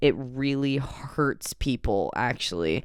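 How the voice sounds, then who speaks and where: Recorded very cleanly against a silent background, a man speaks very slowly in a fairly high pitch. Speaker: podcast host. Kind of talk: casual chat. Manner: hesitant, many fillers.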